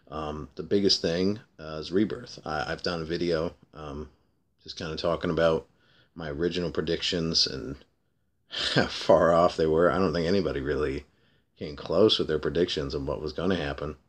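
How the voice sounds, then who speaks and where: A man with a very deep, low pitch and vocal fry speaks at a moderate pace with fairly even intonation and big swings in loudness. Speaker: comic book vlogger. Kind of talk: casual vlog. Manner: hesitant, many fillers. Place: home room. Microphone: webcam.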